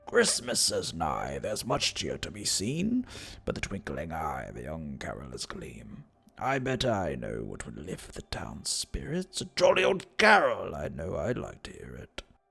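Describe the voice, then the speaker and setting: A man puts on a character voice at a moderate pace. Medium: read story. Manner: warm, gently coaxing.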